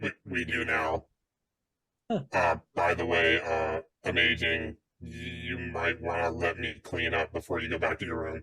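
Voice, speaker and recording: A man uses a put-on character voice, very deep and low, delivered in a flat monotone. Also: moderate pace. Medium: actual play. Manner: dry, deadpan.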